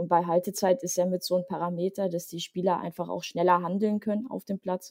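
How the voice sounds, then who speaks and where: With vocal fry and a dark, mellow tone, a woman speaks at a moderate pace, fairly low in pitch and fairly even in intonation, in a dry, close sound with no echo. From Leipzig, Saxony, eastern Germany. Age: 30s. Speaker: sports software manager and football player. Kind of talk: podcast interview.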